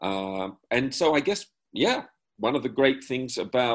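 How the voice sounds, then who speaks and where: At a fairly slow pace, a man talks in an Australian accent. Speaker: improviser. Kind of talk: panel discussion. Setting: video call.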